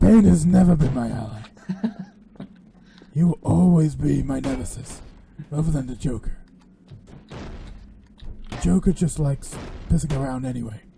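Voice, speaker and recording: In a put-on character voice, a man growls in a gravelly, medium-pitched tone at a moderate pace, with lively intonation, big swings in loudness, long and frequent pauses, and music playing in the background. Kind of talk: comic overacting. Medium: game stream. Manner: pompous, self-aggrandizing, speaks of himself in third person.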